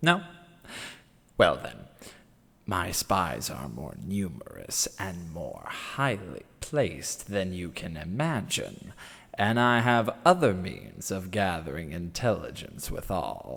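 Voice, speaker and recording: A man uses a put-on character voice with a very deep, low pitch. He speaks at a fairly slow pace. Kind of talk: audiobook character monologue reading. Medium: read story.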